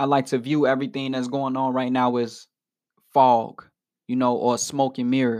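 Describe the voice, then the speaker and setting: A man talks at a medium pitch with an animated tone. His pace is moderate, and the background is quiet. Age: 20s. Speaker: radio host and preacher. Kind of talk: sermon. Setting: home studio.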